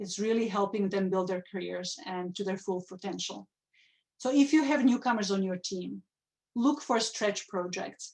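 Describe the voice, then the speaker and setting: A woman's medium-pitched voice with a non-native accent. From Czechoslovakia. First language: Czech or Slovak. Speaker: nonprofit executive. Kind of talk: conference talk. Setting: virtual conference stage. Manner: some hesitations and restarts.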